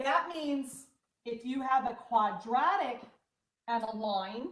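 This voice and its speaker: Loud and very slow, a high-pitched woman speaks with lively intonation amid audible room echo. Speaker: math teacher. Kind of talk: online class lecture.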